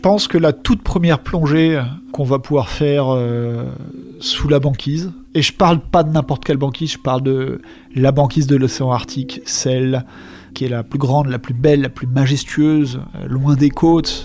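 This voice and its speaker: With noticeable background noise behind him, a man with a fairly high pitch talks at a moderate pace and ordinary pitch variation. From France, Alps. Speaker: diver and explorer. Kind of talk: storytelling interview.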